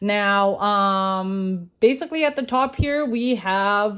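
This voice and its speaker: Against a quiet background, a speaker with a non-native accent talks with lively intonation. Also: woman. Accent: non-native, mispronounces words. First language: not English (English is fifth language). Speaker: social media conspiracy commentator. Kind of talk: explainer video monologue. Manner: hesitant, many fillers.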